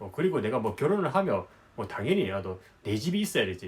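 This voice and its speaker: Moving at a fairly quick pace, a man speaks at a high pitch with very wide pitch swings. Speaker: business consultant and YouTuber. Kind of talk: advice monologue to camera. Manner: casual, with many filler words.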